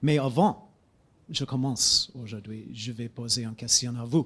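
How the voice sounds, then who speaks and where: At a fairly slow pace, a man talks in a medium-pitched voice with ordinary pitch variation, recorded very cleanly against a silent background. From United States. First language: English (speaking French). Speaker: geography professor. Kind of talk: lecture. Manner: halting, many hesitations.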